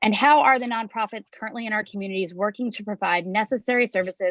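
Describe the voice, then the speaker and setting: The speech goes at a very fast pace. Its pitch variation is ordinary. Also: woman. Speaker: nonprofit president and panel moderator. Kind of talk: panel moderation introduction. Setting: video call live stream.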